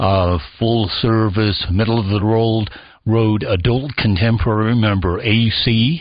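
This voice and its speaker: In a normal speaking voice, a man with fairly low pitch talks at a fairly slow pace with fairly even intonation. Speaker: radio history foundation president, former radio presenter. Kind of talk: radio talk show guest interview.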